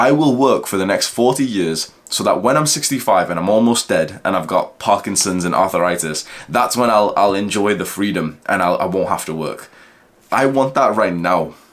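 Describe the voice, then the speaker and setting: Amid noticeable background noise, a man with a British accent talks at a moderate pace in a fairly low voice. His tone is animated and his intonation lively. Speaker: self-improvement YouTuber. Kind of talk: casual vlog monologue.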